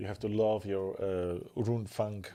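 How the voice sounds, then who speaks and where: Ordinary pitch variation marks a man speaking with a Polish accent in a dark, mellow tone. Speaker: miniature painting streamer. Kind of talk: live stream casual chat while painting. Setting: live stream. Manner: fast.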